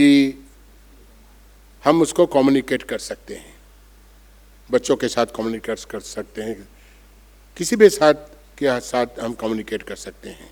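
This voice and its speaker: A man with a Bengali accent talks at medium pitch with lively intonation, big swings in loudness, and long, frequent pauses. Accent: Bengali-accented Hindi. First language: Bengali (speaking Hindi). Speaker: monk. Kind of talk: conference speech. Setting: auditorium with audience.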